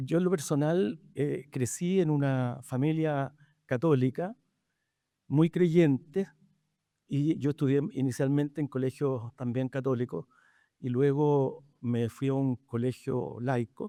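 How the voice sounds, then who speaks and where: Against a quiet background, a man with a fairly high pitch, ordinary pitch variation and a dark, mellow tone speaks at a very slow pace in a dry, close sound with no echo. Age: 70s. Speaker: physician and moderator. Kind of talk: panel discussion introduction. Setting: livestreamed panel event. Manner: halting.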